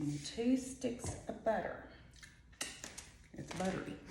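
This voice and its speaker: A quiet woman's voice with audible room echo and noticeable background noise. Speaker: home cook. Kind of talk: cooking tutorial. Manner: chatty.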